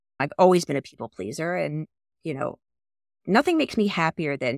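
With vocal fry and a very deep, low pitch, a woman talks at a fairly quick pace using lively intonation. The recording is dry and close with no echo. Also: long, frequent pauses, big swings in loudness. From US Northeast, Philadelphia suburbs. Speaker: executive director of an industry network. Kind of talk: interview conversation.

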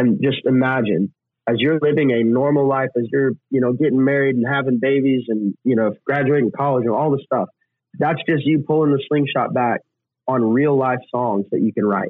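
A man speaks in a plain, everyday voice at a moderate pace and medium pitch. His loudness stays very even, and his pitch varies in an ordinary way. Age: 20s. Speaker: country singer-songwriter. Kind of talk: interview.

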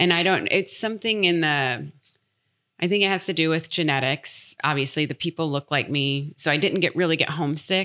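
In a very clean recording with a silent background, a woman with a Midwestern American accent and a very deep, low pitch talks at a fairly quick pace. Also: ordinary pitch variation. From US Midwest. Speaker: speech pathologist. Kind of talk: casual interview.

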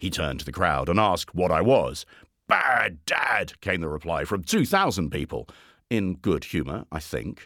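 Vocal fry and very wide pitch swings at a moderate pace, on a very clean recording with a silent background. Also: man. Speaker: storyteller. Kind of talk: literary audiobook reading. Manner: measured, storytelling pace; wry, gently humorous.

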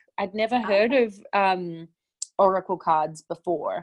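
In a dry, close recording with no echo and a quiet background, a woman with an Australian accent speaks at a fairly slow pace, her medium pitch showing ordinary variation. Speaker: spiritual teacher and author. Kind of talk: interview conversation.

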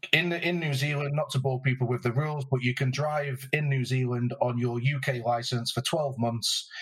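Over noticeable background noise, a man with a British accent speaks at a moderate pace with hardly any pauses. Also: medium pitch for a man, fairly even intonation. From UK. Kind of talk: casual interview chat. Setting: remote recording.

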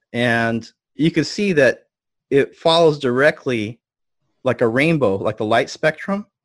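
Lively intonation and a fairly slow pace mark this speech in a Californian accent, with a dry, close sound and no echo. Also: man, fairly high pitch for a man. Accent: Californian American English. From US West Coast, Los Angeles. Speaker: energy healing expert. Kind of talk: interview.

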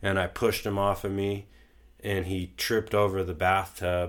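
With a Californian accent, a man talks at a moderate pace in a fairly low pitch, on a very clean recording with a silent background. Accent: Californian American. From Southern California. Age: 30s. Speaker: podcast guest sharing life story. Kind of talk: casual chat.

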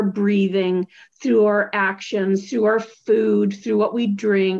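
A woman's ordinary speaking voice, medium in pitch, with ordinary pitch variation and a fairly slow pace. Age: 60s. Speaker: podcast host. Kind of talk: casual interview chat; scripted outro.

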